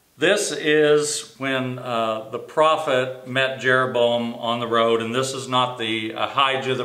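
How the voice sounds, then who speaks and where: A man talks with fairly even intonation. Audible room echo surrounds his voice. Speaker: Sunday school teacher. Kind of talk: Bible teaching. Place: office. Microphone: camera far.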